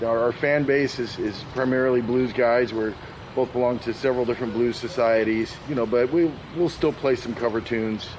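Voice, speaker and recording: A man with a medium-pitched voice and an American accent speaks at a fairly quick pace, his intonation fairly even and his loudness very even. Noticeable background noise runs under him. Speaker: blues musician and singer. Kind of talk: interview. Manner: halting, repeats words.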